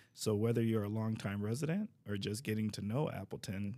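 A man's fairly low, dark, mellow voice at a very fast pace. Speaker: podcast host, city DEI coordinator. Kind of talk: interview podcast, casual conversation.

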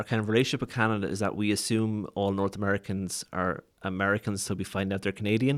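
Talking at a very fast pace, a man uses a fairly low pitch. The recording is very clean, with a silent background. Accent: Waterford Irish. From Ireland, Waterford. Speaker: podcast host. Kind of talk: casual chat. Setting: studio.

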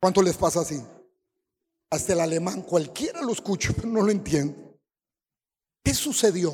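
The pace is moderate. Long pauses come often. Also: man, high pitch for a man, lively intonation. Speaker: apostle, preacher. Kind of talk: sermon. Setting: church.

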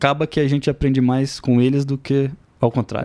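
The tone is dark and mellow, heard at a moderate pace in a dry, close sound with no echo. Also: man. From Brazil, Espírito Santo (Aracruz). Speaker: agritech startup founder, agronomist engineer. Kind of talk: interview.

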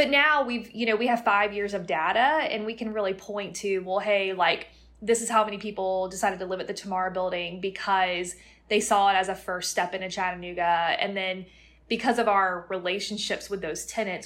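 A woman with an American accent speaks at a fairly quick pace in a plain, everyday voice. Her pitch is medium and her intonation fairly even. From Florida (Plant City, near Tampa). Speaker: real estate company CEO. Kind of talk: interview.

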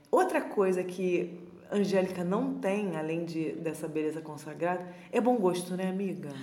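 A woman's medium-pitched voice at a fairly slow pace, with ordinary pitch variation, noticeable background noise and audible room echo. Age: 20s. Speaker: podcast co-host. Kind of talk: casual chat.

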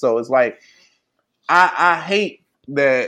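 Against a quiet background, a man with an American accent talks in an unremarkable speaking voice, fairly high in pitch with ordinary pitch variation. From St. Louis, Missouri. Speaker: podcast co-host. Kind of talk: casual chat.

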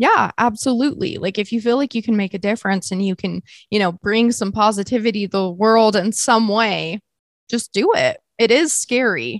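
A woman with an ordinary speaking voice talks at a moderate pace and fairly high pitch, with ordinary pitch variation and a dry, close sound with no echo. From US West (Utah). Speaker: podcaster. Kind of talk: casual interview.

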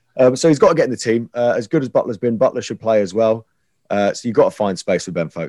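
A dark, mellow tone with ordinary pitch variation, delivered at a very fast pace. The sound is dry and close, with no echo. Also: man. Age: 20s. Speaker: radio presenter. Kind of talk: casual chat.

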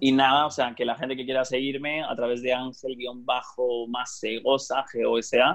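Here a man speaks at medium pitch and a moderate pace. His intonation is monotone and flat. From Spain. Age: 30s. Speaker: digital marketing consultant. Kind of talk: interview conversation. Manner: hesitant, many fillers.

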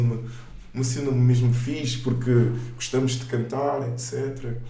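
There is noticeable background noise and audible room echo. A man talks at a moderate pace. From Portugal, raised from age 4 (born in Luanda, Angola). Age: 30s. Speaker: gospel singer and theology student. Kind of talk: casual interview.

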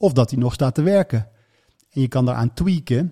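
At a moderate pace, a man with a medium pitch and ordinary pitch variation sounds somewhat breathy, in a dry, close sound with no echo. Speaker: radio presenter and speaker on brain topics. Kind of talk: casual interview conversation.

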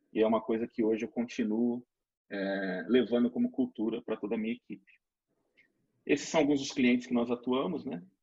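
Recorded with a dry, close sound and no echo, a man at medium pitch speaks in a dark, mellow tone at a fairly quick pace, with fairly even intonation and long, frequent pauses. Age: 40s. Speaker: retail pricing consultant. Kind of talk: webinar presentation.

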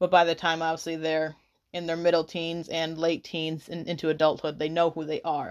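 Monotone, flat intonation at a fairly quick pace. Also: woman, fairly low pitch for a woman, very clean recording, silent background. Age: 20s. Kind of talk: casual commentary.

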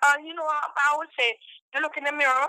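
A woman speaks in a raised, projected voice, high-pitched with a bright, sharp tone. Her pitch varies in an ordinary way, and the sound is dry and close with no echo. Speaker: caller. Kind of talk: casual opinion chat.

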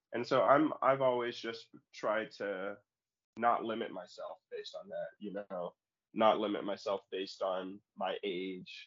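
Delivered at a fairly slow pace, this voice has an American accent and big swings in loudness. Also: man. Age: 20s. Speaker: ultimate frisbee player. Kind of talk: interview. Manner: halting, many fillers.

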